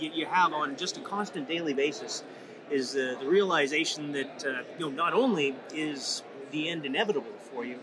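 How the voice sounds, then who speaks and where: Over noticeable background noise and audible room echo, a man with a Canadian accent talks at a moderate pace in a fairly high pitch, his pitch varying in an ordinary way. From Saskatchewan, Canada. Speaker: patient advocate. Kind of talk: interview. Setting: conference event. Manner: halting, many fillers.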